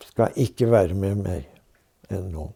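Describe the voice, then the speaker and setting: A very slow male voice with a dark, mellow tone. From Norway. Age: 80s+. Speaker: war veteran, former spy. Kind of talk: interview answer.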